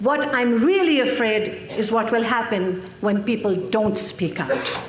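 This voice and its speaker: Speaking at a fairly slow pace over noticeable background noise and audible room echo, a woman with a fairly high pitch keeps her loudness very even and her pitch variation ordinary. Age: 60s. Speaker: activist speaker. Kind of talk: conference speech. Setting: stage with audience. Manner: formal.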